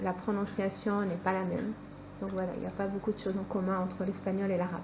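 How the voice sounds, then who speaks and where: A woman speaks in a monotone, with flat intonation. Room echo is audible, and background noise is noticeable. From France. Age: 20s. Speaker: student. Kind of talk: interview. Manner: hesitant.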